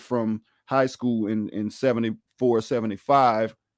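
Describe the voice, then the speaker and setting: A man with a Louisiana accent speaks at a moderate pace. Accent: Southern US, Louisiana. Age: 30s. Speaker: podcast host. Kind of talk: casual chat.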